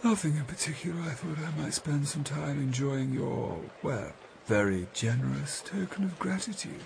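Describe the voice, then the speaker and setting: A man's put-on character voice, drawling at a moderate pace with a fairly high pitch, over clear background noise. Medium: read story. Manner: drawling, cool, detached.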